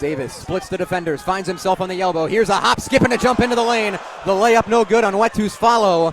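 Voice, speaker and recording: An energetic tone over noticeable background noise. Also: man. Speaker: sports broadcaster. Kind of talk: radio basketball play-by-play. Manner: fast, energetic.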